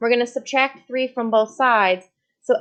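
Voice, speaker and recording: A woman's fairly high-pitched voice. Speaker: math teacher. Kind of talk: tutorial. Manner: fast; animated.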